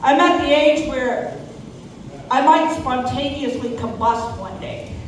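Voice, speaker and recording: A woman speaks very slowly at a high pitch, her loudness swinging widely. Noticeable background noise and audible room echo surround her voice. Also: ordinary pitch variation. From New Mexico. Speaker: comedian. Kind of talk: stand-up.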